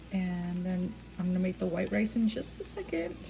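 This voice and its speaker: Speaking at a moderate pace, a woman with a fairly low pitch makes very wide pitch swings. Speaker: stay-at-home mom vlogger. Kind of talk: casual vlog narration. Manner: quiet, hushed.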